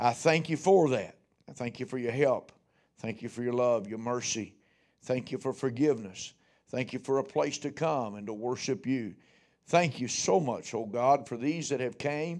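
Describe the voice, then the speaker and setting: Moderately paced male speech, pitch varying in an ordinary way, set against a quiet background. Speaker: pastor. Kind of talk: prayer then sermon. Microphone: podium.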